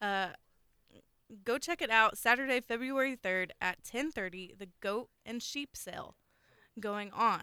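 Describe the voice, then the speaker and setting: Speaking in a Southern US accent, a woman with a fairly high pitch and a bright, sharp tone goes at a fairly slow pace with long, frequent pauses, ordinary pitch variation, and big swings in loudness, in a dry, close sound with no echo. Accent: Southern US (Oklahoma). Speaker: radio host. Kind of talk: call-in radio show. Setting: studio. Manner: friendly.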